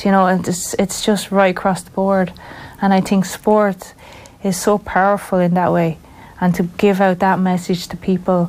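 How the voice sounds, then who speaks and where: In a Wexford Irish accent, a woman speaks at medium pitch and a moderate pace, with monotone, flat intonation and big swings in loudness. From Ireland, rural County Wexford. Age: 40s. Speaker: football referee. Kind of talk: interview. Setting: studio.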